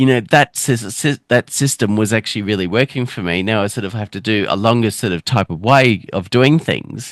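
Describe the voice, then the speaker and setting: With an Australian accent, a man talks at a fairly quick pace with hardly any pauses, his fairly low pitch moving with ordinary variation in a dry, close sound with no echo on a very clean recording with a silent background. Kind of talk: casual interview chat. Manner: halting, broken-up speech with restarts; many filler words.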